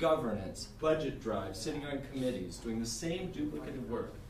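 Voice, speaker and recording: Audible room echo and noticeable background noise surround a man who speaks at a fairly quick pace. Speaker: minister and denominational staff leader. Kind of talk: workshop presentation. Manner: fast.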